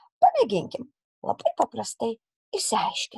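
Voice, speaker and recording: This woman's voice sounds dry and close, with no echo at all. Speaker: primary school teacher. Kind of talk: recorded lesson for children. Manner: slow and clear, instructive.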